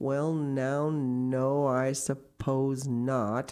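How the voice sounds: A woman's put-on character voice, extremely low in pitch, with a dark, mellow tone, little pitch movement and a very slow pace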